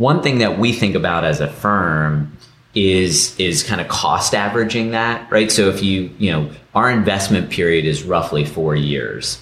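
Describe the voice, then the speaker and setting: Noticeable background noise runs under a man speaking at a moderate pace in a very deep, low voice. His intonation is lively while his loudness stays very even. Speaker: venture capitalist. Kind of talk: group interview.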